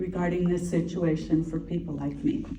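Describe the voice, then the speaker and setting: Audible room echo is heard in this clip. The woman speaking has a fairly low pitch. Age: 60s. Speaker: college student, audience member. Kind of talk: audience question. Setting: town hall with audience.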